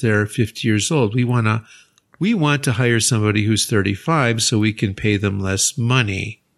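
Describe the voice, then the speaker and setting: Against a quiet background, a man with an American accent and a normal speaking voice talks at a moderate pace with ordinary pitch variation. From United States. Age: 60s. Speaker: university English teacher, podcast co-host. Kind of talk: casual chat.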